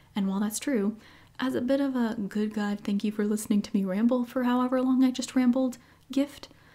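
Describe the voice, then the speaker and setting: At a very fast pace, a woman speaks in a dark, mellow tone, somewhat breathy, with monotone, flat intonation. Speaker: podcast host. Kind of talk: podcast monologue.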